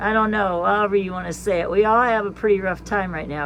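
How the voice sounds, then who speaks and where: A woman speaks at a medium pitch with fairly even intonation, and the room echo is audible. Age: 60s. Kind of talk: casual monologue. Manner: halting.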